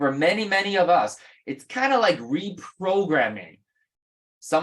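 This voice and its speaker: This woman has a non-native accent. She talks very slowly. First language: not English. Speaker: real estate investing mentor. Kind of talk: webinar seminar. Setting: video call webinar.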